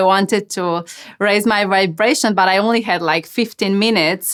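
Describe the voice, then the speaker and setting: A woman speaks with a Slovenian accent. Her medium pitch shows ordinary variation. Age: 30s. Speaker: channeling medium, podcast host. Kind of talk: Q&A monologue. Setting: podcast. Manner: casual, hesitant with fillers.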